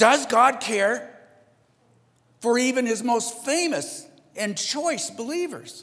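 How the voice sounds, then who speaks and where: Speaking at a very slow pace with long, frequent pauses, a man has an extremely high pitch and ordinary pitch variation. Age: 60s. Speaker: pastor. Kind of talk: sermon. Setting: church.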